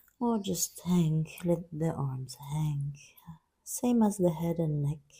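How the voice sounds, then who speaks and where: Very slowly and somewhat breathily, a woman speaks in a calm, gentle tone at a fairly low pitch with lively intonation. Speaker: yoga teacher. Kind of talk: guided yoga class instruction.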